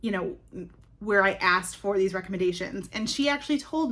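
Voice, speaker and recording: Noticeable background noise sits behind a woman's voice. Her pitch is medium and her intonation lively. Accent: American. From Wisconsin, US Upper Midwest. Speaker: book vlogger. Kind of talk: casual vlog book review. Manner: casual, filler-heavy.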